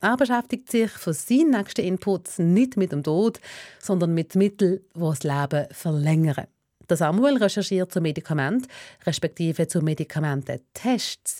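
The delivery has lively intonation at a moderate pace, with a dark, mellow tone. The sound is dry and close with no echo, on a very clean recording with a silent background. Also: woman, fairly low pitch for a woman. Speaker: radio host. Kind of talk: scripted narration.

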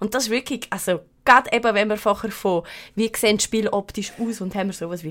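This woman's voice sits fairly high. She talks at a very fast pace. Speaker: podcast host. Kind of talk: casual chat. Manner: animated.

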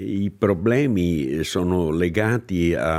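On a very clean recording with a silent background, a man speaks in a very deep, low pitch with lively intonation. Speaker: former government migration official. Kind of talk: interview.

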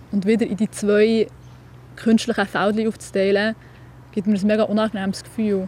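With long, frequent pauses, a woman speaks at a moderate pace in a somewhat breathy voice with a dark, mellow tone. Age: 20s. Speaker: young writer. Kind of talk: interview.

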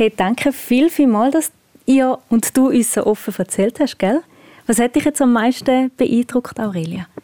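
A woman speaks with a Swiss accent at a fairly slow pace, her high voice showing ordinary pitch variation in a dry, close recording with no echo. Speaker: radio host. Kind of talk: casual chat. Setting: outdoors.

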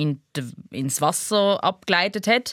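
This very clean recording has a silent background. On it, a woman speaks at a very slow pace. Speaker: podcast host, film critic. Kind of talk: casual chat.

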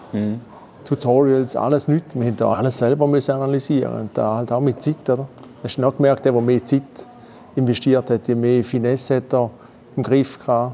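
Over noticeable background noise, a man speaks at a moderate pace and medium pitch in a monotone, flat voice with long, frequent pauses. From Eastern Switzerland, St. Gallen (Rorschach). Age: 50s. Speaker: former gaming champion, heating installation manager. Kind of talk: casual chat. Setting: studio.

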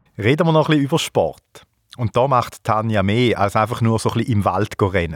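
Delivered at a fairly quick pace, a plain, everyday voice has lively intonation and very even loudness. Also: man, medium pitch for a man. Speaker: podcast host. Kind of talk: casual chat. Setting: at a guest's home.

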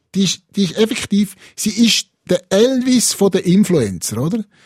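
Recorded dry and close with no echo, a man with a Swiss accent speaks with lively intonation. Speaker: podcast co-host. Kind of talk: casual chat podcast.

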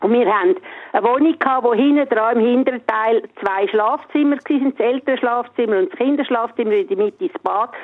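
A woman speaks in a high pitch with lively intonation at a moderate pace. Noticeable background noise runs underneath. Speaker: radio caller. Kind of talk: personal storytelling. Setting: phone call.

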